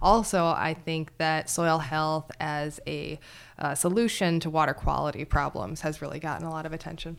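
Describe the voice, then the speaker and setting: Very deep and low, a woman's voice comes through. The recording is very clean, with a silent background. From Wisconsin. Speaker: soil scientist, university faculty. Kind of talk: casual interview.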